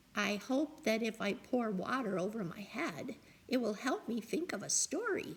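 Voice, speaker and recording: A put-on character voice speaks at a moderate pace. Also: woman, fairly high pitch for a woman. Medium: read story.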